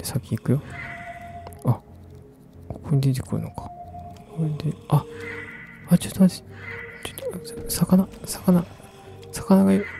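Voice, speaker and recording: Over clear background music, a man speaks with lively intonation. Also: dry sound with no echo. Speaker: ASMR game streamer. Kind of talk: casual talk to camera while playing a game. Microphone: studio mic.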